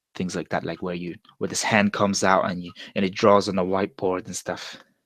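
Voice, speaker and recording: In a Mongolian accent, a man speaks at a very deep, low pitch and a fairly quick pace. His intonation stays monotone and flat. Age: 20s. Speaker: vlogger. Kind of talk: casual monologue. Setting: live stream. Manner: casual, hesitant with self-corrections.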